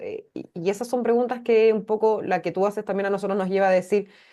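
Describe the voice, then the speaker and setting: A woman with a Chilean accent talks at a fairly quick pace in a fairly high pitch, her tone dark and mellow and her pitch variation ordinary, over a quiet background. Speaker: public sector training staff. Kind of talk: class discussion.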